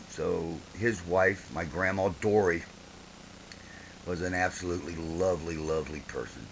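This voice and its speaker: A man talks with an American accent over noticeable background noise. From Ohio, US Midwest. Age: 60s. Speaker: grandfather. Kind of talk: oral history interview, casual storytelling.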